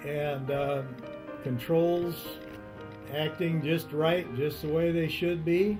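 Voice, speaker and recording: With music in the background, a man talks very slowly at a fairly high pitch with fairly even intonation. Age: 70s. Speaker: retired army pilot, kit plane builder. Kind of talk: interview answer. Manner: relaxed, hesitant.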